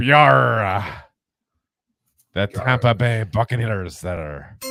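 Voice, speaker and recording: A man puts on a character voice with a fairly low pitch, talking at a very slow pace over faint music in the background. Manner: playful.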